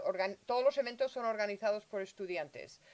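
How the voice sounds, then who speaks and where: A woman's medium-pitched voice with a Spanish accent, dry and close with no echo. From Spain, Madrid. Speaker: university multicultural affairs director. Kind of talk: bilingual interview.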